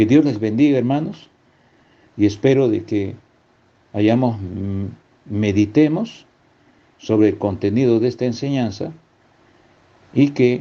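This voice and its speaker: A man speaks very slowly, with long and frequent pauses, at a medium pitch with ordinary pitch variation. His tone is dark and mellow, and the background is quiet. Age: 60s. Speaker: preacher. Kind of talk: sermon. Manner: halting.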